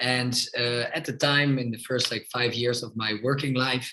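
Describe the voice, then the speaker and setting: Here a man speaks at medium pitch with a Dutch accent. He keeps a moderate pace. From Netherlands, Amsterdam. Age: 30s. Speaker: politician. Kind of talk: podcast interview.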